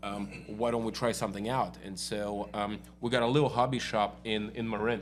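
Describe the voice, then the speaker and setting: A man with a fairly low pitch talks at a fairly quick pace, his monotone, flat intonation marked by vocal fry. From Russia (Moscow). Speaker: auto body shop owner. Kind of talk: casual interview.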